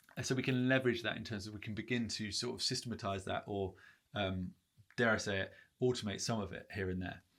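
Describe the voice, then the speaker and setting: A man with a fairly low pitch speaks at a very fast pace with fairly even intonation, on a very clean recording with a silent background. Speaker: branding consultant. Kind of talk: tutorial. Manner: casual, filler-heavy.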